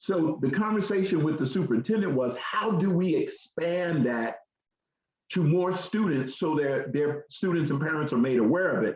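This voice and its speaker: A man speaks in a plain, everyday voice at a fairly high pitch, with lively intonation, very even loudness and a moderate pace. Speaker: education program presenter. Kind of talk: radio talk show presentation.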